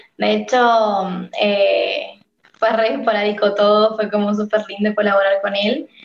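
A woman with a San Luis Argentine accent speaks at medium pitch, fairly slowly, in a monotone, flat way. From Argentina, San Luis. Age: 20s. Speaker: singer. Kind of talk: casual interview.

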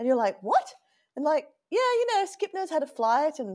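A woman talks at a moderate pace. Her pitch moves in very wide swings. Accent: Australian. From Australia, Sydney (Lane Cove). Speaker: venture capital investor. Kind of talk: interview.

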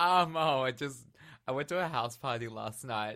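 A man speaks with an Australian accent. His pitch variation is ordinary. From Australia, living in London. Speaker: podcast guest, pop singer-songwriter.

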